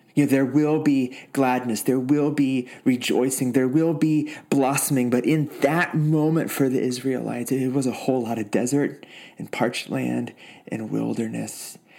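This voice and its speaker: This is an ordinary speaking voice from a man at a medium pitch. He keeps a moderate pace with fairly even intonation. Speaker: pastor. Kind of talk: sermon and prayer. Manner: warm, reflective.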